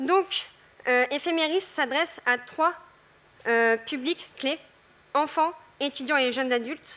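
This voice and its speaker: A woman speaks very slowly in a high pitch with ordinary pitch variation, leaving long, frequent pauses. Her tone is bright and sharp, and her voice is raised and projected. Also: very even loudness. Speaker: development council member presenting a project. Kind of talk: timed forum presentation. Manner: hesitant, many filler sounds.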